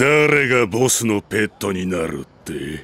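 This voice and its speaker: A man's put-on character voice, fairly low and fairly slow. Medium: audio drama. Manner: menacing, rough street speech.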